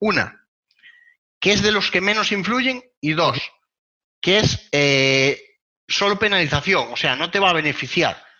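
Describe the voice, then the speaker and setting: A man's lively intonation in a Castilian accent. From Spain. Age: 20s. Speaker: web performance consultant. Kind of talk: interview.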